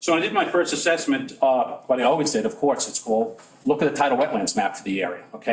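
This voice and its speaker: A man with an American accent talks at a very fast pace with hardly any pauses. His fairly high pitch swings very widely. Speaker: environmental consultant. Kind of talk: public hearing testimony. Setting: town board meeting at podium. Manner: halting, many restarts.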